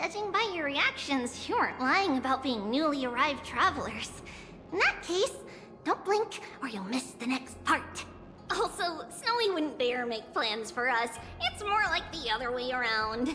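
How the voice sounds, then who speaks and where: A woman's high-pitched, put-on character voice at a moderate pace over clear background noise. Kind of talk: archaic liturgical invocation. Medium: fan dub.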